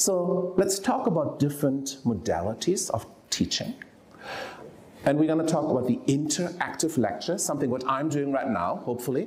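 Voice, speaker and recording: A man's fairly high-pitched voice with a German accent, moderate pace and lively intonation, amid audible room echo and noticeable background noise. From Germany. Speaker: professor of medicine. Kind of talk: lecture. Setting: lecture hall with audience. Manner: animated.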